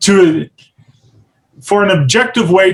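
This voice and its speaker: A man talks in a somewhat breathy voice. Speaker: editor and guest speaker. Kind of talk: webinar presentation.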